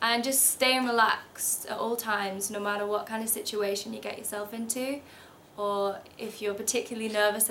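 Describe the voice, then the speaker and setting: Amid noticeable background noise and audible room echo, a woman speaks in a monotone, flat way at a moderate pace and fairly high pitch. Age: 20s. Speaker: model. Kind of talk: tutorial.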